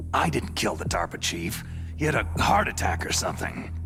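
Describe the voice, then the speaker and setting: Loud music plays in the background as a man uses a put-on character voice with a very deep, low pitch. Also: moderate pace. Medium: machinima. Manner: terse, gruff.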